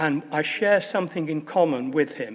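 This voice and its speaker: This man talks at a fairly high pitch and a fairly slow pace, with ordinary pitch variation. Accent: Manchester. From northern England, Manchester. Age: 70s. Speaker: honorary fellow, football assistant manager. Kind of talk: graduation speech. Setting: stage with audience.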